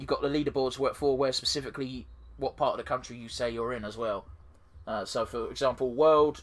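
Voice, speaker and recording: A man talks at a moderate pace. He has a southeast English accent. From southeast England. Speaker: gaming YouTuber. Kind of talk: let's play commentary. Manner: casual, halting with fillers.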